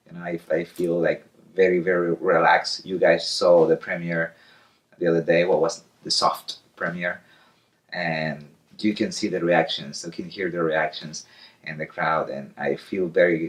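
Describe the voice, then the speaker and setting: A man talks with an Argentine accent. His pace is fairly slow. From Argentina. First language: Spanish. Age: 30s. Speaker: circus clown. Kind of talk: interview. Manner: halting.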